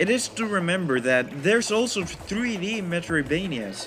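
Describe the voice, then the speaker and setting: Against noticeable background noise, a man with a high pitch speaks at a moderate pace with very wide pitch swings. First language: not English. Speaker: video essayist. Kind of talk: scripted narration. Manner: varying tone.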